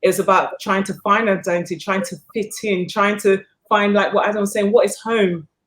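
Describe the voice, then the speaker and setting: In a British accent, a woman of medium pitch talks at a moderate pace with monotone, flat intonation. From England. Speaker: filmmaker. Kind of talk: panel interview. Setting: on location, not in studio.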